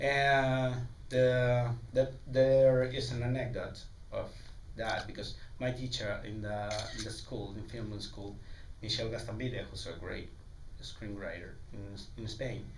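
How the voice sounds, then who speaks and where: With long, frequent pauses and big swings in loudness, a man at medium pitch talks at a fairly slow pace with fairly even intonation, while audible room echo and noticeable background noise fill the recording. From Mexico. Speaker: film director. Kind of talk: festival Q&A. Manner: halting, many repeats and fillers.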